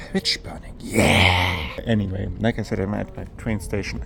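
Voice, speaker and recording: A man speaks with a German accent at a fairly low pitch. He keeps a moderate pace amid noticeable background noise. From Germany. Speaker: gaming and history youtuber. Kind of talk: casual travel vlog; scripted narration. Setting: outdoors.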